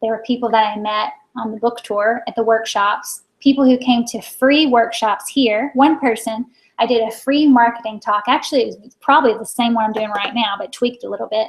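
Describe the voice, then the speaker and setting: A woman with a normal speaking voice and an American accent talks at a fairly quick pace in a fairly high pitch, her intonation fairly even and her loudness swinging widely. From Maine, US. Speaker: business coach. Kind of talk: webinar presentation. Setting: online video broadcast.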